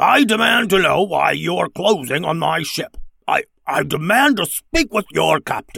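Putting on a character voice, a man speaks fairly slowly in a fairly high pitch, gravelly and rumbling with vocal fry, a slightly husky edge, a fairly bright tone and lively intonation.

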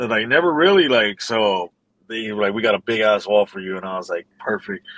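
Heard dry and close with no echo, a man with an American accent speaks with very wide pitch swings. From Los Angeles. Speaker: street artist. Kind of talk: casual interview.

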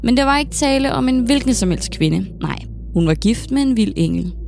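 A woman speaks in a dramatic, serious tone against noticeable background noise. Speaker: historian podcast host. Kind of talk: true-crime narration. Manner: dramatic, gripping storytelling; measured, deliberate, serious.

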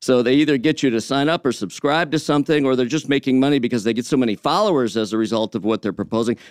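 Against a quiet background with a dry, close sound and no echo, a man with an American accent talks at a very fast pace and a medium pitch, with ordinary pitch variation, very even loudness and hardly any pauses. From Michigan (Detroit area). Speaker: business radio correspondent, startup founder. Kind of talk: radio business segment. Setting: radio broadcast.

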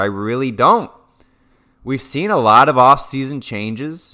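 On a very clean recording with a silent background, a man speaks with an American accent at a fairly slow pace. His tone is bright, sharp and animated. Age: 20s. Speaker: sports podcast host. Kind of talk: sports analysis monologue.

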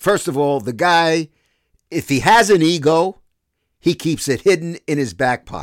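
With a Brooklyn accent, a man speaks at a fairly slow pace in a fairly high, animated voice with ordinary pitch variation on a very clean recording with a silent background. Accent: New York (Brooklyn). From New York City, Brooklyn. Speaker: sports broadcaster and podcast host. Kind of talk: casual monologue podcast.

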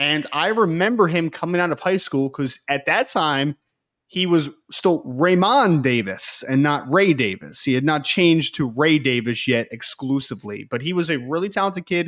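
This is a very clean recording with a silent background. A man with a fairly high pitch and an unremarkable speaking voice uses lively intonation at a moderate pace. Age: 30s. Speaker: recruiting analyst. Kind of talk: casual sports analysis chat.

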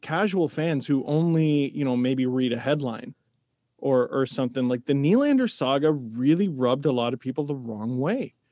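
In an Ontario accent, a man with a fairly high pitch and a dark, mellow tone speaks at a moderate pace with ordinary pitch variation, the sound dry and close with no echo against a quiet background. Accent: Canadian (Ontario). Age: 30s. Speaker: hockey commentator and podcaster. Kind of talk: casual interview chat.

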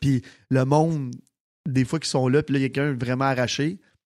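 A man is heard in a very clean recording with a silent background and a dry, close sound with no echo. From Quebec, Sainte-Martine. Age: 30s. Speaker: nightclub owner and entrepreneur. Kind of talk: casual chat.

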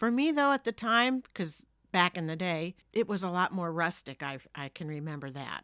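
A woman with an American accent speaks in a bright, sharp tone at a fairly low pitch, her voice making very wide pitch swings. The sound is dry and close, with no echo. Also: moderate pace, very clean recording, silent background. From New Jersey. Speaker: podcast host's mother. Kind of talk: casual chat. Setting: home basement.

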